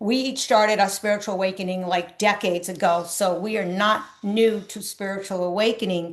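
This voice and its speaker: Against a quiet background, a woman in a normal speaking voice talks at medium pitch and a moderate pace with fairly even intonation. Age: 60s. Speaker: spiritual coach. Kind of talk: casual chat.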